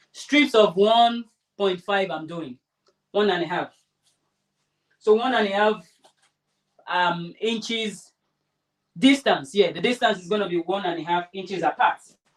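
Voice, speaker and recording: A woman with a Nigerian accent speaks at a fairly slow pace and medium pitch with ordinary pitch variation. Her loudness swings widely, and she takes long, frequent pauses. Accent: Nigerian (Yoruba) English. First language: Yoruba. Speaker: craft tutorial host. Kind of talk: tutorial livestream. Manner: casual, chatty.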